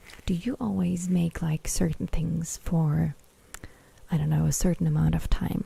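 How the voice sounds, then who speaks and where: Whispering, a woman comes across as soft-spoken. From Germany. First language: German. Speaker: ASMR creator. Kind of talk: livestream chat with viewers.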